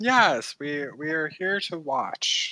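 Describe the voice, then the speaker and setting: A female-sounding voice uses a put-on character voice at a middle pitch. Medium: actual play. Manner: verbose, courteous.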